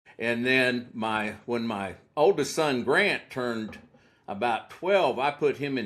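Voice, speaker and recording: An unremarkable speaking voice from a man with an American accent, medium in pitch with lively intonation. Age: 60s. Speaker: prosecutor. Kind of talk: casual chat.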